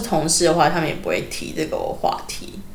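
Against noticeable background noise, a woman talks at a very fast pace in a Taiwanese accent. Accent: Taiwanese Mandarin. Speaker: former kindergarten teacher. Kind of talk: casual interview chat.

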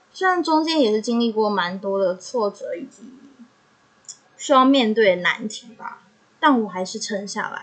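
A woman with a Taiwanese accent speaks at a fairly high pitch and a fairly slow pace, with lively intonation and big swings in loudness. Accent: Taiwanese Mandarin. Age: young. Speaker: podcaster. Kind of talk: personal monologue.

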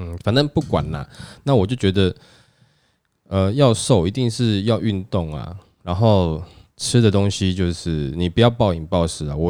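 A dark, mellow tone with lively intonation and a Taiwanese accent, at a moderate pace, on a very clean recording with a silent background. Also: man. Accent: Taiwanese Mandarin. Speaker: podcast host. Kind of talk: casual chat.

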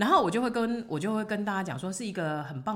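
A woman's pitch swings very widely. Audible room echo carries her voice. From Taiwan. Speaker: retired restaurant owner living abroad. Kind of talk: casual interview.

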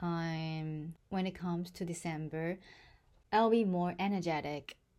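Very slow and fairly low-pitched, a woman speaks with a dark, mellow tone on a very clean recording with a silent background. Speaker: podcaster. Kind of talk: casual monologue; reading aloud.

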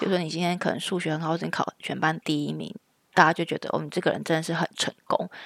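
A woman talks very fast in a fairly low, monotone voice with vocal fry, recorded very cleanly with a silent background and a dry, close sound free of echo. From Taiwan. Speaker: podcast co-host, mother. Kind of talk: casual chat.

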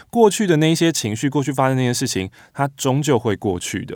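A man at a very fast pace, very wide pitch swings, on a very clean recording with a silent background. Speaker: radio host. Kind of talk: interview conversation.

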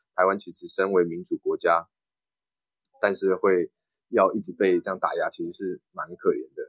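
A man talks at a moderate pace with big swings in loudness. Long, frequent pauses mark his speech, and the sound is dry and close with no echo. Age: 20s. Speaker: local council candidate. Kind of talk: interview.

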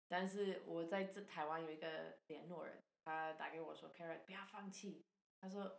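With an English accent, a woman speaks at a fairly low pitch in a monotone, flat intonation, with hardly any pauses and big swings in loudness. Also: moderate pace. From Canada. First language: English (speaking Chinese). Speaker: charity founder and former missionary. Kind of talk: casual interview.

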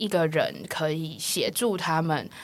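The woman talks fairly slowly. Her pitch rises and falls in an ordinary way. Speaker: counselling psychologist. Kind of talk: interview conversation. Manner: laughs a lot; animated.

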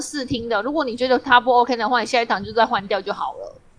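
Very fast speech from a woman with a high pitch, noticeable background noise behind her. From Taiwan. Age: middle-aged. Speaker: podcast co-host. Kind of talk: casual chat.

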